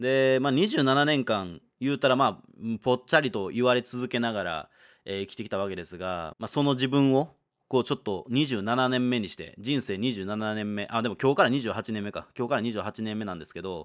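A man talks at medium pitch and moderate pace with ordinary pitch variation. He has an unremarkable speaking voice. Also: very clean recording, silent background. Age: 20s. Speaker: gaming YouTuber. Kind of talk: solo video monologue announcement. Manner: casual, relaxed.

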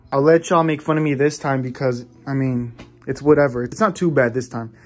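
Faint music plays behind a man with an American accent whose intonation stays fairly even. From Los Angeles. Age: young. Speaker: vlogger. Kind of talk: casual vlog talk to camera. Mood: playfully annoyed, teasing sister. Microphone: phone near.

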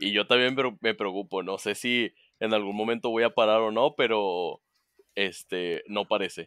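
Fairly low in pitch, a man talks at a fairly slow pace with fairly even intonation. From Monterrey, northern Mexico. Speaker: board game event organizer. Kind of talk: casual chat. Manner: talkative.

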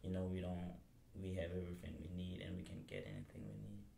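A man with a very deep, low pitch speaks at a fairly quick pace in a dark, mellow, somewhat breathy tone. His pitch varies in an ordinary way, and the room has audible echo. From Mali. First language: Bambara / French. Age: 20s. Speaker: college student. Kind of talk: interview.

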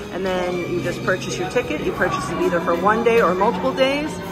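Loud music plays in the background as a woman talks very fast with ordinary pitch variation. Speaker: travel vlogger. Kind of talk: casual vlog chat. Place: station. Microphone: phone near.

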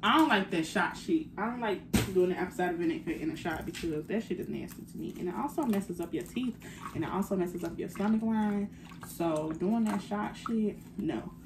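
A woman at a fairly quick pace, lively intonation, noticeable background noise behind her. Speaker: lifestyle vlogger. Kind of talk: casual vlog chat. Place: home room. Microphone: phone near.

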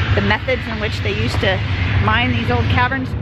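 Over loud background noise, a woman speaks very fast in a dry sound with no echo. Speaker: travel vlogger. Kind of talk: casual vlog chat. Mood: enthusiastic. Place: street. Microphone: phone near.

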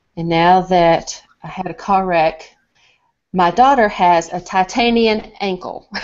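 A woman with a Southern US accent, very slow delivery, ordinary pitch variation, and a quiet background. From US South. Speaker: nonprofit founder. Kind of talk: personal story in webinar. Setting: video call. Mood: earnest, emotional. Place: home room. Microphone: video call.

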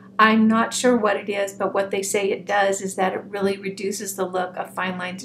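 There's noticeable background noise behind the voice. It moves at a moderate pace with flat, monotone intonation. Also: woman. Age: 60s. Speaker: beauty vlogger. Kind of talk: monologue video, product review. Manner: warm, friendly. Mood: frank, relaxed.

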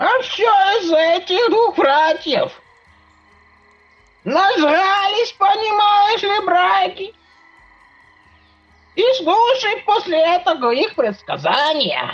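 A female-sounding put-on character voice, extremely high in pitch, moves at a fairly slow pace with long, frequent pauses. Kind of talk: Minecraft series voice acting. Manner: grumpy, muttering.

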